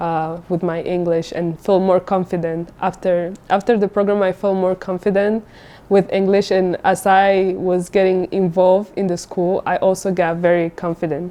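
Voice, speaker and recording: This woman's voice has a dark, mellow tone at medium pitch, delivered in a monotone, flat intonation. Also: moderate pace, hardly any pauses. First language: Spanish. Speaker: international student. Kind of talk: interview testimony.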